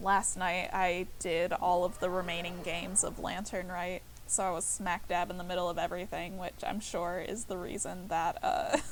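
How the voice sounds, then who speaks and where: The voice is soft-spoken and flat, monotone in intonation, with hardly any pauses over noticeable background noise. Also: woman, fairly low pitch for a woman, moderate pace. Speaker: streamer. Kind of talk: casual chat. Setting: livestream from couch. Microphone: laptop mic, very quiet.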